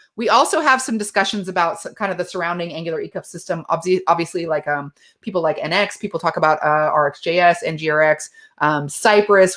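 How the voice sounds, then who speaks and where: The woman's delivery comes at a very fast pace. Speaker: tech community founder and speaker. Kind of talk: conference talk with Q&A. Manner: casual, filler-heavy.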